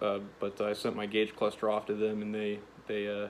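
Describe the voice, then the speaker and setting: Light background noise sits behind a man speaking at a fairly low pitch. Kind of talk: casual vlog chat. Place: garage. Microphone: phone near.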